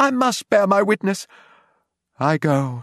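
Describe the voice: On a very clean recording with a silent background and a dry, close sound with no echo, a man does a put-on character voice at a high pitch, slow pace and big pitch swings.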